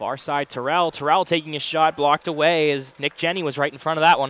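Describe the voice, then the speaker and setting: The pace is fairly quick. The sound is dry, with no echo. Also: man. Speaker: play-by-play announcer; play-by-play commentator. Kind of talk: live commentary. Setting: arena broadcast. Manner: animated. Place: stadium.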